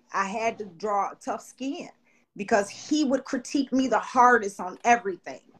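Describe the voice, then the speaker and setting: An ordinary speaking voice from a woman, fairly high in pitch, with ordinary pitch variation and a moderate pace. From Chicago, South Side. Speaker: sports agency owner, former athlete. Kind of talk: casual interview chat. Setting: studio.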